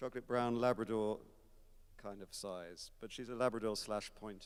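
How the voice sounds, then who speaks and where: A man's medium-pitched voice with an English accent, a moderate pace and fairly even intonation. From England, Kent. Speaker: concert organist. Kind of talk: onstage interview. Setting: recital hall with audience. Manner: hesitant, many fillers.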